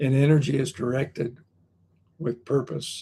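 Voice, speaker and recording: Somewhat breathy, a man speaks with a dark, mellow tone and fairly even intonation. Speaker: motivational speaker. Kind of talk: motivational talk. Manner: repetitive, halting in places.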